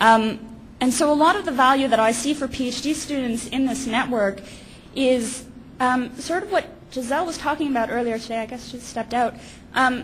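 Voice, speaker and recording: There is noticeable background noise as a woman talks at a fairly quick pace. Her pitch is high, with ordinary pitch variation. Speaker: PhD student. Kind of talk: panel talk. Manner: hesitant, many fillers.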